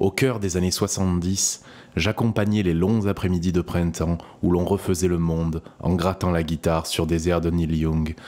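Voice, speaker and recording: At a fairly slow pace, a man speaks at a very deep, low pitch, his intonation fairly even and his loudness very even. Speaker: audiobook narrator. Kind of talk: audio short story reading.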